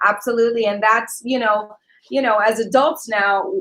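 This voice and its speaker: Speaking at a moderate pace, a woman with a Spanish accent has a fairly high pitch and a bright, sharp tone. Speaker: online talk show co-host, actress. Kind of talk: live-stream chat reading viewer comments. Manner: animated, many fillers.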